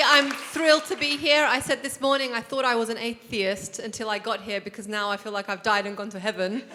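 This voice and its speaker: The voice is raised and projected, moving at a fairly quick pace with ordinary pitch variation against noticeable background noise. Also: woman. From Cyprus. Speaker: lawyer and politician. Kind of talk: panel introduction. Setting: stage with audience.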